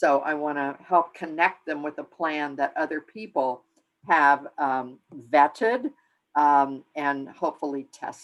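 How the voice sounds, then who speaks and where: The pitch is very deep and low for this woman. She moves at a fairly slow pace. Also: ordinary pitch variation. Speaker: implementation science researcher, guest speaker. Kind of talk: lecture. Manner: hesitant, many fillers.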